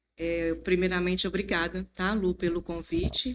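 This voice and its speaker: Speaking at a fairly slow pace and medium pitch, a woman has an unremarkable speaking voice. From Brazil, Mantena (Minas Gerais). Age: 50s. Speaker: church member sharing testimony. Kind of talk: testimony.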